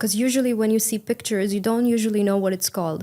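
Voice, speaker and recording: A woman with an Indian accent, her tone dark and mellow, her intonation flat and monotone, on a very clean recording with a silent background. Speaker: English exam candidate. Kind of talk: speaking exam interview. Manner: uses intonation well; fluent, casual with fillers.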